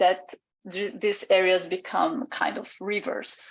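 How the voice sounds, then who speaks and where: Against a quiet background, a woman with a Portuguese accent speaks at a fairly slow pace in a medium-pitched voice. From Brazil. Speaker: artist and PhD researcher. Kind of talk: online seminar presentation. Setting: video call. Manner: halting, many fillers.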